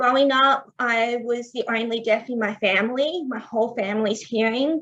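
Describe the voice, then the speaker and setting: A woman's fairly high voice with an Australian accent and ordinary pitch variation. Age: 20s. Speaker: deaf athlete. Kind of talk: presentation. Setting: online event.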